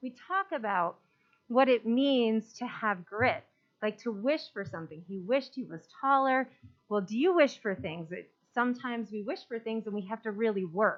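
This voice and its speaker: Her fairly high pitch carrying lively intonation, a woman talks at a moderate pace with big swings in loudness. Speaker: elementary school principal. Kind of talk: report at a school board meeting. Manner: animated.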